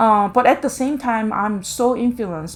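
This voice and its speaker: With music in the background, a woman with a Korean accent speaks at a fairly high pitch. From South Korea. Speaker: visual artist. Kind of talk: interview monologue. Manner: hesitant, many fillers.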